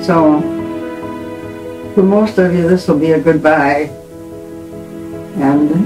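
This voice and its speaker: A very slow pace with long, frequent pauses and fairly even intonation, over clear music in the background. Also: woman. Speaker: grandmother. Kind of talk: farewell message to family. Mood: tender, calm farewell. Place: home room.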